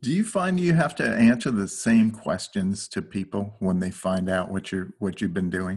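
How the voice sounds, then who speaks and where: Ordinary pitch variation marks an ordinary speaking voice that proceeds at a moderate pace. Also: man, fairly low pitch for a man. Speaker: podcast host. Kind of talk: casual chat.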